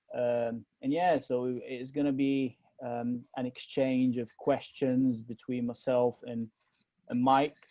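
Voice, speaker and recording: An American-accented man speaks at a very slow pace. His medium-pitched voice stays monotone and flat. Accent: strong British with a slight American twinge. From Egypt, Alexandria. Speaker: podcast co-host. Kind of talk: casual chat. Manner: halting, many fillers.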